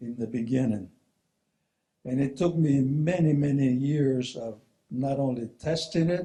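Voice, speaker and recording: Somewhat breathy with a dark, mellow tone, a man speaks at a fairly slow pace, his pitch fairly high with ordinary variation. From New Mexico, Zuni Pueblo. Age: 70s. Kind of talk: talk to an audience.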